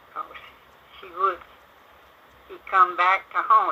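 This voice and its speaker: With a Southern US accent, a woman speaks. Her pitch is medium. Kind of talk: oral storytelling of family ghost stories. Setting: home recording.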